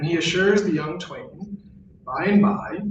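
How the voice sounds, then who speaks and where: A man with an American accent speaks at a high pitch and a moderate pace. There is audible room echo and noticeable background noise. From US South, New Orleans. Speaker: philosophy professor. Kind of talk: lecture. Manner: formal.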